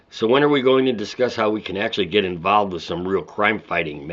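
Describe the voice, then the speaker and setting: In a put-on character voice, a man talks very fast, raspy and fairly low in pitch. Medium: read story.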